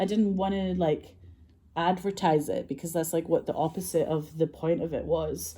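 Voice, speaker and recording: A woman's dark, mellow voice, fairly low-pitched, with a Scottish accent, vocal fry, fairly even intonation and a moderate pace. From Scotland. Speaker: filmmaker and actress. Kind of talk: casual storytelling monologue.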